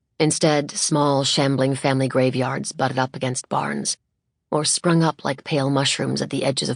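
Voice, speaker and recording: A woman's very deep, low voice with vocal fry, fairly even intonation and a moderate pace, in a dry, close sound with no echo. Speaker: audiobook narrator. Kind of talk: audiobook narration. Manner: lyrical, skilled delivery.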